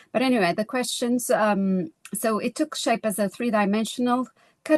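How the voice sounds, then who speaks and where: A woman with a Portuguese accent talks at a moderate pace with ordinary pitch variation. Her sound is dry and close with no echo. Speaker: lecturer. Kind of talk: conference presentation. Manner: halting, with self-corrections.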